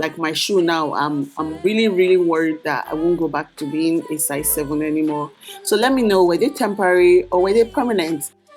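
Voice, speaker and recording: A woman with a Nigerian accent and a fairly low pitch talks at a fairly quick pace with hardly any pauses and ordinary pitch variation. Music plays in the background. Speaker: lifestyle vlogger. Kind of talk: casual vlog talk to camera.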